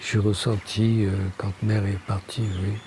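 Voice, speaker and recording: A man speaks at a fairly low pitch and a fairly slow pace. His intonation is monotone and flat, with noticeable background noise behind him. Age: 60s. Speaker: Auroville pioneer and architect. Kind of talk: interview. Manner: hesitant, many fillers.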